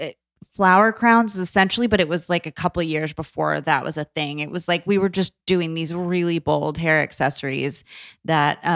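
In a plain, everyday voice, a woman with an American accent speaks at a moderate pace with a fairly low pitch and ordinary pitch variation, on a very clean recording with a silent background and a dry, close sound with no echo. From Florida. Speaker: entrepreneur, founder of a lifestyle brand. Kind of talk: casual interview conversation. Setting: studio.

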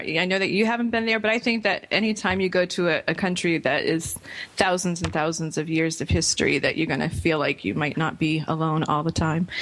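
Over music in the background, a woman speaks at a fairly quick pace in a fairly low pitch with ordinary pitch variation. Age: young. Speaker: radio host and cosmetics entrepreneur. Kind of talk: casual chat.

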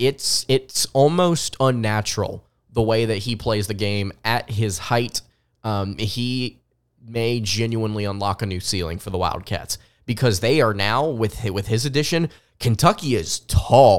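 In a very clean recording with a silent background, a man speaks with an American accent at a medium pitch and a fairly slow pace. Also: ordinary pitch variation. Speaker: sports podcast host and writer. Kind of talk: solo sports podcast commentary.

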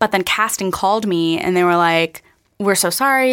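A woman with an American accent has an unremarkable speaking voice at medium pitch and a moderate pace. The recording is very clean and the background silent. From Pennsylvania. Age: 20s. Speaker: actor and singer. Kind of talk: interview.

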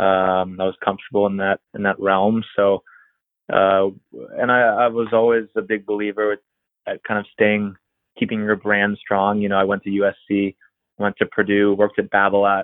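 A man with an American accent speaks at a moderate pace in a fairly low, monotone, flat voice. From Pennsylvania, Erie; teen years in Florida. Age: 30s. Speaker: college tennis coach. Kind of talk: interview.

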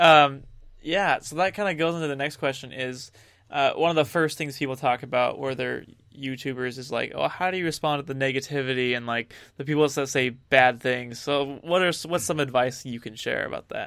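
A plain, everyday voice from a man, fairly high in pitch, fairly quick in pace, with ordinary pitch variation. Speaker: podcast host. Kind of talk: casual interview chat. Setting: live online video broadcast.

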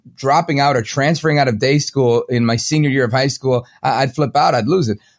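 A very fast man with a fairly high pitch and a New York accent. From Brooklyn, New York. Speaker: talk show host. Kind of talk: interview.

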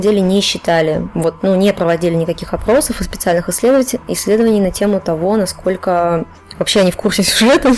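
At a fairly quick pace, the voice shows ordinary pitch variation over noticeable background noise. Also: woman. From Chuvashia, Russia. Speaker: game scriptwriter. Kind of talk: casual podcast interview.

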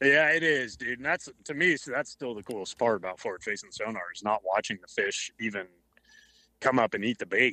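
At a fairly quick pace, a man with a normal speaking voice and medium pitch talks with lively intonation. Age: 30s. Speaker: professional bass angler. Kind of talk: casual chat.

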